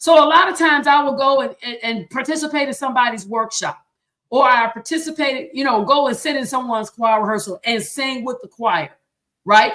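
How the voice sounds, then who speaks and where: A woman speaks at a fairly quick pace in a high voice, her intonation lively and her tone animated. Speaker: choir director and show host. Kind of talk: livestream teaching talk. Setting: live stream. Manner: fast.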